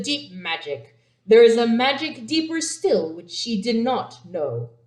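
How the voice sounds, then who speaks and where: A woman puts on a character voice. Her pitch runs fairly high. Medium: read story. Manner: grave, kindly.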